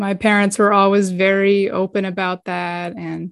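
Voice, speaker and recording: In a very clean recording with a silent background, a woman with an American accent speaks at medium pitch and a fairly slow pace, her intonation monotone and flat. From New England (Boston, Massachusetts). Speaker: donor-conceived person. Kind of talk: casual interview chat.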